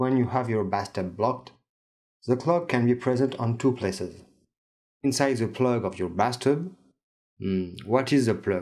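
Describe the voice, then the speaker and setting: A man with a French accent, medium pitch, ordinary pitch variation and a moderate pace, on a very clean recording with a silent background. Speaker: DIY tips video maker. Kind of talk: tutorial.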